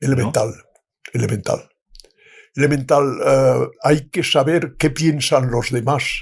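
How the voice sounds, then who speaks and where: Somewhat breathy and fairly high in pitch, a man talks at a fairly slow pace with ordinary pitch variation. The background is quiet. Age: 90s. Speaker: retired diplomat. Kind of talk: interview answer.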